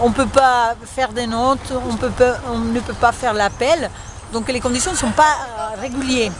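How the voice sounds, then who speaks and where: A woman with a Spanish accent speaks at a fairly slow pace in a high voice with fairly even intonation, against noticeable background noise. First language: Spanish (speaking French). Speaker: French teacher. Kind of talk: interview. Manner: halting, many fillers.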